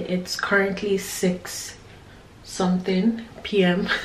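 A woman's voice carries audible room echo, with light background noise underneath. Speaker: vlogger. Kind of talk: casual vlog chat. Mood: relaxed, chatty. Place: home room. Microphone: phone near.

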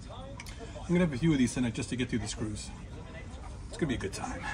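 A man talks at a very fast pace. There is noticeable background noise. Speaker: travel vlogger. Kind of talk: casual vlog chat. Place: boat. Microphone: phone near.

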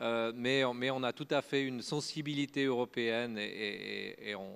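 A man with a Swiss accent at a fairly slow pace, his intonation fairly even. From French-speaking Switzerland. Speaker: open source foundation director and software engineer; conference speaker. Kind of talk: conference talk. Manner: halting, many filler words and repetitions. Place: stage. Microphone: handheld.

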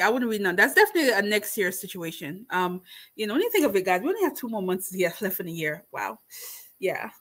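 Bright and sharp in tone, a woman speaks with lively intonation. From Jamaica. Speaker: booktuber hosting book discussion. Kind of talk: casual livestream book chat. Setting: livestream with live chat. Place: home room. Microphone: webcam.

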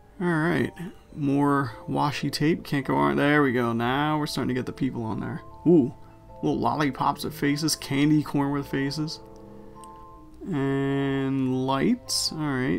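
Over music in the background, a man speaks at a fairly slow pace with fairly even intonation. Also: fairly high pitch for a man. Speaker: guest voiceover by the crafter's boyfriend. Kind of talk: casual craft video voiceover commentary. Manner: playful, joking.

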